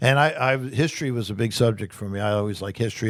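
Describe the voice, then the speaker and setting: A man talks at a very fast pace with ordinary pitch variation, recorded very cleanly against a silent background. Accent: New Jersey. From US Northeast, New Jersey shore. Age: 60s. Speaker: political candidate. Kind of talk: interview. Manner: halting, with frequent repetitions.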